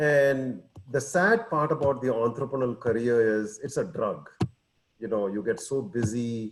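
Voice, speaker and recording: At a moderate pace, a man uses an unremarkable speaking voice with medium pitch and ordinary pitch variation. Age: 60s. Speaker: entrepreneur. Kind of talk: testimony.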